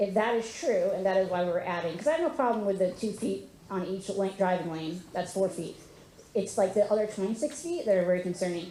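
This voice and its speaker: Over noticeable background noise, a woman with an American accent speaks at a fairly quick pace and medium pitch, with ordinary pitch variation. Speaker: resident at public meeting. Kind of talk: public meeting question. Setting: community meeting with audience. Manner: halting, many fillers.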